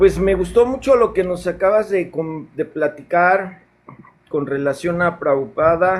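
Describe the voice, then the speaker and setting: With a Mexican accent, the speech moves at a very slow pace with lively intonation. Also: man. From Mexico, Yucatán (Mérida). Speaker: caller, devotee. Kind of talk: casual chat. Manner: halting, with fillers.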